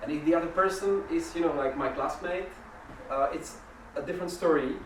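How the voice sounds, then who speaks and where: Noticeable background noise sits under speech that moves fairly quickly. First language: not English. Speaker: workshop facilitator. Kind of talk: interactive workshop talk. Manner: halting.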